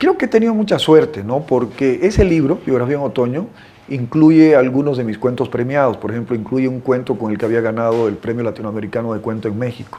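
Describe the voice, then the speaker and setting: With ordinary pitch variation and a medium pitch, a man talks as noticeable background noise plays behind him. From Bolivia, Beni (Santa Ana del Yacuma). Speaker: writer. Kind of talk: interview. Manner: halting.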